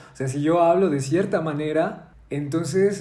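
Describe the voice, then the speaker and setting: A man with a fairly high pitch and ordinary pitch variation talks at a moderate pace, with audible room echo and noticeable background noise. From Mexico, Zacatecas. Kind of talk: casual discussion. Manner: halting.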